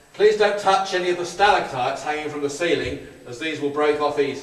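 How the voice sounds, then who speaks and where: Amid noticeable background noise and audible room echo, a man speaks fairly quickly with ordinary pitch variation. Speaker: tour guide. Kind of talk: guided tour talk. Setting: underground bunker. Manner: soft-spoken.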